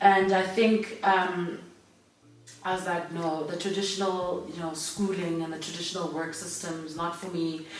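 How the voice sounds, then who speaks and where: A woman with a fairly low pitch talks at a moderate pace, and her loudness swings a lot. Noticeable background noise and audible room echo fill the recording. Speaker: radio host and entrepreneur. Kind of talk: casual interview. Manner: energetic.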